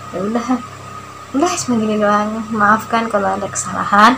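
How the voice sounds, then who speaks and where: Over noticeable background noise, a woman talks at a fairly quick pace with a fairly high pitch and fairly even intonation. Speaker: vlogger. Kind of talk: personal testimony. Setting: self-recorded video. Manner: stiff; hesitant.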